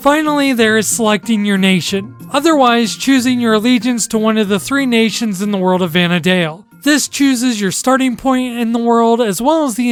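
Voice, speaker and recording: Background music can be heard. The delivery is fairly quick. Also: hardly any pauses. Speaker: video game commentator. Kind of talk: video essay narration.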